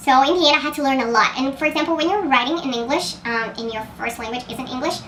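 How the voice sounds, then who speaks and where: Words come at a very fast pace with ordinary pitch variation. Noticeable background noise and audible room echo are present. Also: woman. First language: Portuguese. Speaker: writer and contest mentor. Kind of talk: casual vlog monologue.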